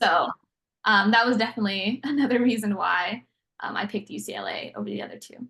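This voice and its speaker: A woman's fairly high voice with vocal fry, big swings in loudness, and a very fast pace. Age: 20s. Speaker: university student. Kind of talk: casual interview.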